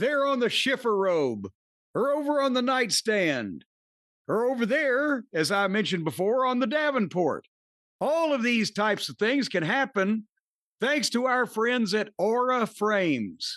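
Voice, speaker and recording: With a Midwestern accent, a man uses an extremely high pitch and lively intonation over a quiet background. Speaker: podcast host reading an ad. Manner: comedic, rambling delivery.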